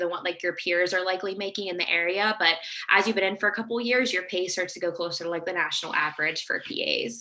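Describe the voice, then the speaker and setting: Very fast female speech with ordinary pitch variation, hardly any pauses and noticeable background noise. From Pittsburgh, Pennsylvania. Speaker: Navy physician assistant. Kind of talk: virtual presentation with Q&A.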